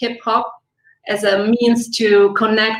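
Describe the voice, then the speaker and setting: A woman speaks with an Italian accent at a fairly high pitch. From Italy. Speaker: filmmaker. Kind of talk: interview.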